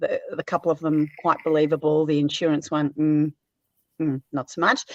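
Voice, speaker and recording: Her pitch sitting very deep and low, a woman talks in an Australian accent. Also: dry, close sound with no echo. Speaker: caller. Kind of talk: casual chat. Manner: hesitant, many fillers.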